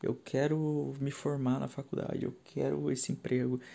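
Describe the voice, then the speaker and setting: At a fairly slow pace, a man speaks with a medium pitch and a dark, mellow tone. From São Paulo city, Brazil. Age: 20s. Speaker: podcast host, IT worker. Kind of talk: solo podcast monologue. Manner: halting, with fillers.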